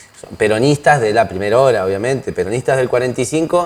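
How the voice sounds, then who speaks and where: Lively intonation marks a man's medium-pitched voice, heard against noticeable background noise. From Argentina, northern Neuquén. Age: 30s. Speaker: lawyer and political candidate. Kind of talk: interview.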